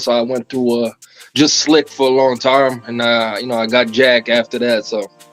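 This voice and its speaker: Music plays behind a man speaking at a moderate pace. His medium-pitched voice stays monotone and flat. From Montreal, Canada. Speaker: rapper. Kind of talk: interview. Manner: casual.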